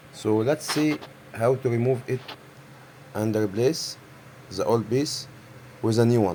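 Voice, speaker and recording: At a fairly slow pace with long, frequent pauses, a man with an Arabic accent speaks at a medium pitch, with ordinary pitch variation and very even loudness. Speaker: printer repair technician. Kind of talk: tutorial. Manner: halting.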